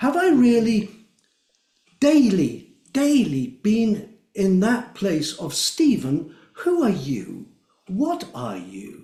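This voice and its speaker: A man's high, dark, mellow voice with very wide pitch swings, a very slow pace, long and frequent pauses, and audible room echo. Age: 70s. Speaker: drumming circle facilitator. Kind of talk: interview.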